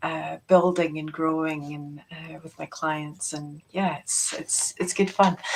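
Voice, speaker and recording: Speaking in a Scottish accent, a woman keeps a fairly low pitch, fairly even intonation and a fairly slow pace. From Scotland, Peebles. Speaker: quantum healing practitioner. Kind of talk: casual chat.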